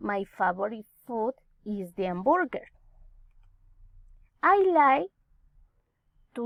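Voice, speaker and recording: In a dry, close sound with no echo, the speaker uses a Colombian accent, a very slow pace and very wide pitch swings. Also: woman. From Colombia, Nariño. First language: Spanish. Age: 30s. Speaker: teacher. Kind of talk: English class self-introduction.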